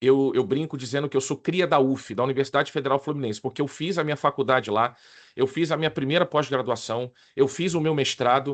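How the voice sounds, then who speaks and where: This is a man with a Carioca accent and a fairly high pitch. He speaks at a moderate pace against a quiet background. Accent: carioca Rio. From Rio de Janeiro, Brazil. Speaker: risk management consultant and lecturer. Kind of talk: online presentation to professionals. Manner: casual, informal.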